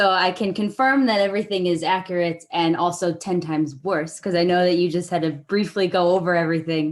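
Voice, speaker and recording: A woman with a Chicago accent speaks fairly quickly and fairly low in pitch, with very even loudness, fairly even intonation and hardly any pauses. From Chicago, US Midwest. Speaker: student. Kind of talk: question in online seminar.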